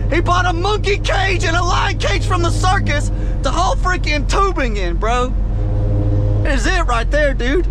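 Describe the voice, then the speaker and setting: There is noticeable background noise in a dry sound with no echo. A man speaks at a moderate pace. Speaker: truck driver vlogger. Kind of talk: casual vlog chat. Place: car.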